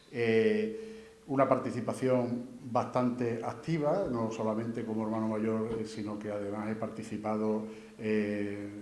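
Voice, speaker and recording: At a fairly slow pace and medium pitch, a man talks in a flat monotone, with audible room echo and noticeable background noise. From Andalusia, Spain (Huelva province, raised in Seville). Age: 60s. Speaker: engineer and candidate for brotherhood council. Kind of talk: candidacy presentation speech. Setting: presentation event with audience. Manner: halting, many repetitions and fillers.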